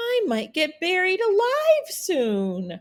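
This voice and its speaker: A woman's squeaky, put-on character voice at an extremely high pitch, delivered at a very slow pace. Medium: read story.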